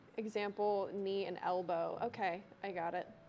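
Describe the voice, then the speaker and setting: A woman speaks at a fairly slow pace. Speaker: trivia co-host, dining staff. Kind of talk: live trivia game hosting. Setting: studio. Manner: loud.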